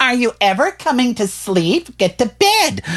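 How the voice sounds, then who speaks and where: A man performs a put-on character voice at an extremely high pitch. His pitch swings very widely, and his pace is moderate. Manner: nagging, impatient.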